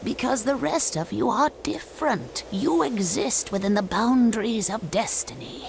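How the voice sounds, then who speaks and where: Over clear background noise, a put-on character voice comes through at a fairly high pitch and a moderate pace. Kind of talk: game cutscene voice acting. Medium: video game. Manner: formal, detached, cryptic.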